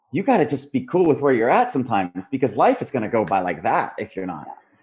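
A man's voice with vocal fry and very wide pitch swings, set against a quiet background. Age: 30s. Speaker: life coach and surfer. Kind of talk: casual chat.

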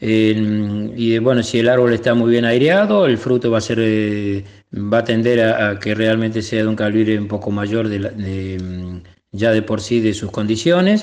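A man talks fairly slowly, keeping a medium pitch and fairly even intonation. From Argentina, Córdoba province (Etruria). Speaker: cook and olive grower. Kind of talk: interview testimony. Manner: halting, many fillers.

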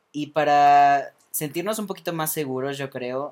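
In a normal speaking voice, a man talks at a moderate pace and a fairly high pitch. His intonation stays fairly even. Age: 20s. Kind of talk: casual interview. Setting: studio with small live audience.

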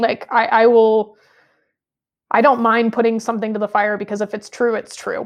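Long, frequent pauses mark a woman's moderate pace as she speaks with an American accent in a fairly high pitch and monotone, flat intonation. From US Midwest (Michigan, then St. Louis area). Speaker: high school Bible teacher. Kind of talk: casual interview.

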